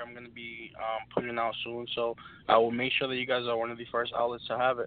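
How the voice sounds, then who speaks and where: A man with an unremarkable speaking voice and an American accent, at a fairly quick pace. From Brooklyn, New York. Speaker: rapper. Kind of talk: casual interview.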